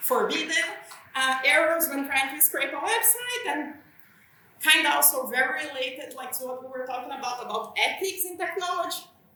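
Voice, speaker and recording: A woman with a Brazilian accent speaks in a raised, projected voice at a high pitch, her intonation lively. Room echo is audible. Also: big swings in loudness. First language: Portuguese. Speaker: software engineer, conference speaker. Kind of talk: conference talk. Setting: conference stage with audience. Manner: slightly hesitant, with fillers.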